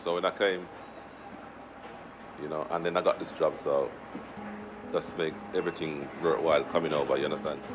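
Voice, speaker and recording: Over noticeable background noise, a man with a Jamaican accent talks at a fairly quick pace. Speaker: station worker. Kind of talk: interview.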